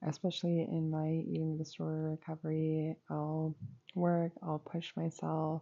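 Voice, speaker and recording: A soft-spoken woman talks at a fairly slow pace with a very deep, low pitch. Her intonation is monotone and flat, and her loudness stays very even. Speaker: YouTuber and student. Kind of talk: casual chat.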